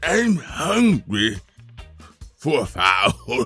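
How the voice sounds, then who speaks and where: Backed by music, a gravelly put-on character voice performs. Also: man, medium pitch for a man. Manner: tough, menacing.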